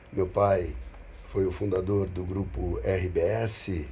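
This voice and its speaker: There is audible room echo as a man with a fairly low pitch speaks at a very slow pace. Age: 60s. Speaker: businessman and investor. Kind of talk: casual podcast conversation.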